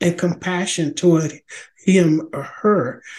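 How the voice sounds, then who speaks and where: A man speaks with a high pitch. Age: 50s. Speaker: elder and minister hosting a faith discussion show. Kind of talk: religious teaching monologue. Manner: halting, with many fillers.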